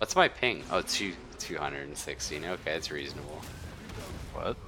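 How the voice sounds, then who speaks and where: A man's voice is heard. Noticeable background noise accompanies it. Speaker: gaming streamer. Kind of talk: casual gaming chat. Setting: live stream with online voice chat. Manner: rambling, lots of filler words.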